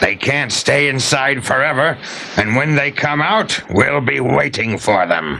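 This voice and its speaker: Over clear background noise, a man speaks at a fairly slow pace in a put-on character voice at medium pitch. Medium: read story. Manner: gloating, menacing.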